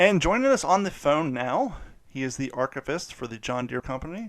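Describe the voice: With big pitch swings, a man talks at a moderate pace and a fairly high pitch.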